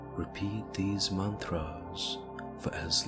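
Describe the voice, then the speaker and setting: A man speaks at a very slow pace. Loud background noise sits behind him. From India. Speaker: meditation guide. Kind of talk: guided meditation.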